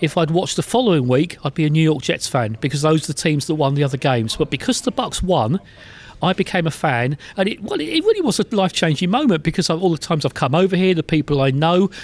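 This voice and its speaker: Talking very fast in an English accent, a man with a fairly high voice keeps his loudness very even, the sound dry and close with no echo. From England. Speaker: sports journalist and football team historian. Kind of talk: interview. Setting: in person.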